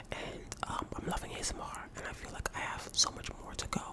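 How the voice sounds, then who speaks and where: Whispering in a relaxed tone at a moderate pace, a man is heard over noticeable background noise. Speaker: ASMR artist. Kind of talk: whispered Q&A to camera. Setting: home recording. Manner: whispered, relaxed.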